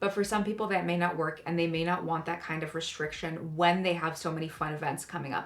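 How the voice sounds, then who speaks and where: Against noticeable background noise, a woman with a fairly low pitch talks at a very fast pace with fairly even intonation. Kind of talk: casual talk to camera about budgeting. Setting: home recording with new mic, occasional clipping.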